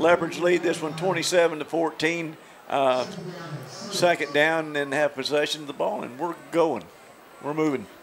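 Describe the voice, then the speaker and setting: A man has an ordinary speaking voice, fairly high in pitch, with fairly even intonation. He speaks at a fairly slow pace over light background noise. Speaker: color commentator. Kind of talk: sports commentary analysis. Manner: conversational, analytical.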